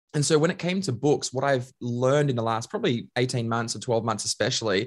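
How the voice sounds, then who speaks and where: Against a quiet background, a man with an Australian accent speaks very fast at a medium pitch with lively intonation. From Queensland, Australia. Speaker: leadership trainer and author. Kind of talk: casual chat.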